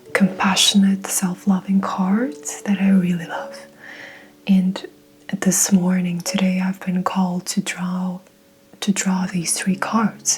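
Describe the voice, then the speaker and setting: Over noticeable background noise, a woman talks very slowly at a medium pitch in a monotone, flat way. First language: Mongolian. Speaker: tarot reader. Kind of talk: tarot reading.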